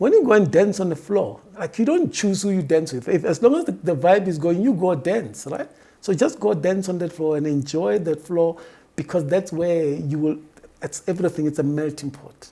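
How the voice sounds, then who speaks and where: The speaker talks at a moderate pace with a Botswana accent. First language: Setswana. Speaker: diversity and workplace expert. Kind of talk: interview.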